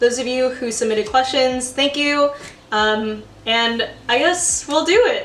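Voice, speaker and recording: A woman speaks at a fairly slow pace in a high voice with ordinary pitch variation, with audible room echo and noticeable background noise. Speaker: amateur baker and video host. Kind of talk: casual chat. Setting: home kitchen, video call with guest.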